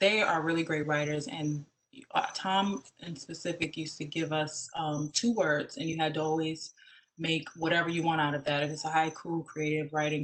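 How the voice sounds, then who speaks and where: This woman's pitch is very deep and low. She keeps a moderate pace and fairly even intonation. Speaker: podcast host. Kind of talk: casual chat.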